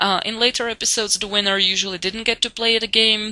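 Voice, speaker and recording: A woman with a non-native accent speaks at a moderate pace. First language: not English. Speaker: TV show reviewer. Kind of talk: casual monologue review. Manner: hesitant, many fillers.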